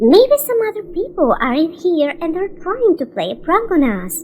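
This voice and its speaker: A put-on, squeaky character voice, female-sounding and extremely high in pitch, at a moderate pace over clear background noise. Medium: read story.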